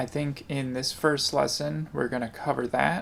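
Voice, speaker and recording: A man of medium pitch speaks quietly. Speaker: guitar teacher. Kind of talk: tutorial. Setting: home kitchen.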